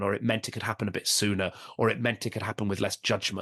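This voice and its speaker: A man's fairly low voice with a Welsh accent. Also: quiet background. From Wales. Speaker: stand-up comedian. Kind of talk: podcast interview. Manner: halting, many restarts and fillers.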